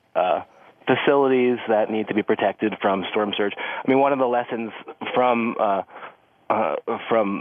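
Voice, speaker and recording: Noticeable background noise sits under a man's voice. He keeps a moderate pace and fairly even intonation. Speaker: chemical industry reporter. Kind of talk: news interview.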